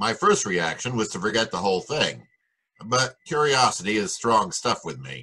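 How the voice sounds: A man puts on a character voice, fairly low in pitch with a bright, sharp tone. His pitch swings widely, and a slightly husky edge runs through it. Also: moderate pace.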